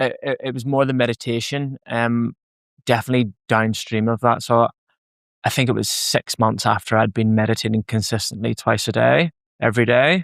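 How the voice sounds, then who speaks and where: A man with a Northern Irish accent at a medium pitch and moderate pace, fairly even intonation, a dry, close sound with no echo, and a very clean recording over a silent background. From Northern Ireland. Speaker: podcast host. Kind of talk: podcast conversation.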